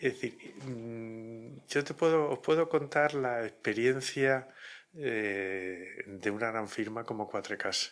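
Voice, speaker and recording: The pace here is very slow. A man speaks at a medium pitch with ordinary pitch variation. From Spain, Murcia. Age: 60s. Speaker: lawyer. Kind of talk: interview. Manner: measured, hesitant.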